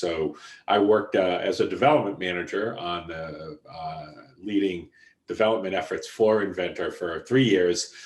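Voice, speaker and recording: In a strong Boston accent, a man speaks at a moderate pace. His pitch is fairly low. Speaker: software executive. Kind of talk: podcast interview.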